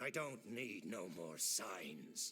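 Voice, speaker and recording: A raspy, put-on character voice with very wide pitch swings, over clear background music. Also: man. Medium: video game. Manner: curt, gruff.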